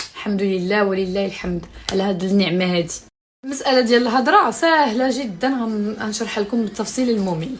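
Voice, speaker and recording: Animated, fairly high female voice at a moderate pace, with audible room echo. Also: ordinary pitch variation. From Morocco, Tangier. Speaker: social media influencer. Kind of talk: casual live stream chat.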